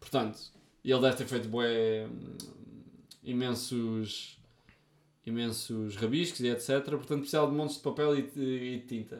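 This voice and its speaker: Long, frequent pauses in a man's fairly slow, medium-pitched delivery with fairly even intonation. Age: 40s. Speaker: podcast co-host. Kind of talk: casual chat.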